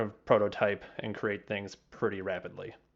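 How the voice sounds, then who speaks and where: Against a quiet background, a man with a fairly low pitch speaks at a fairly slow pace. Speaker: software developer, conference speaker. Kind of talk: conference talk, pre-recorded. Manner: hesitant, many fillers.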